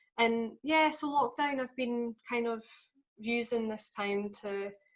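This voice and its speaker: A woman speaks fairly slowly in a northeastern Scottish accent, her pitch fairly high with ordinary variation. The recording is very clean, with a silent background. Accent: Scottish, north-east (Doric). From Scotland, Aberdeenshire. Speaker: folk singer and language activist. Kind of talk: podcast interview.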